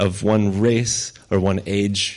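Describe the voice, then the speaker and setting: Over noticeable background noise, a man speaks at a fairly low pitch with monotone, flat intonation. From Ukraine. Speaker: missionary pastor. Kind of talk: sermon with interpreter. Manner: slow, with pauses for translation.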